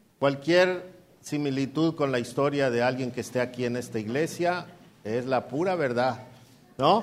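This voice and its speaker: A plain, everyday voice, a man with lively intonation at a moderate pace. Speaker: pastor. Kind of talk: sermon. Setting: church.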